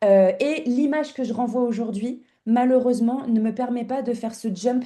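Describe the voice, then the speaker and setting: A woman speaks at a moderate pace in a fairly high pitch. Her tone is dark and mellow. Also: quiet background. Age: 30s. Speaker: image consultant. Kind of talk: interview. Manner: halting, many fillers.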